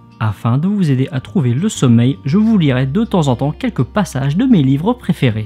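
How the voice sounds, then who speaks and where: A man speaks in a fairly high pitch with very wide pitch swings and very even loudness, hardly pausing. Music plays in the background. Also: moderate pace. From Hauts-de-France. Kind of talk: sleep reading of a book excerpt.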